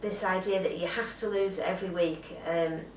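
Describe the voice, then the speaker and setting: Room echo and noticeable background noise surround a woman's voice. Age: 50s. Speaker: weight loss vlogger. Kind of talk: casual vlog.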